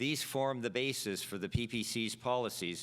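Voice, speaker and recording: A man with a Canadian accent, a normal speaking voice, medium pitch and ordinary pitch variation. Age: 60s. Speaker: political candidate. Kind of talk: prepared debate speech. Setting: stage with audience. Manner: formal.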